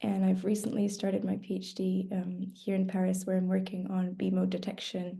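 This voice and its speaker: Room echo can be heard as a woman talks at a moderate speed. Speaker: PhD student in cosmology. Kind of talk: webinar talk.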